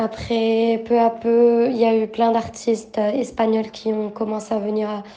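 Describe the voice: Dark and mellow in tone, the voice keeps a moderate pace with fairly even intonation. Room echo is audible. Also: woman.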